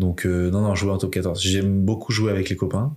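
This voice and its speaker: A man's fairly low-pitched voice at a moderate pace, with fairly even intonation, on a very clean recording with a silent background. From France, Limoges. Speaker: rugby player and entrepreneur, podcast founder. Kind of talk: casual interview as guest.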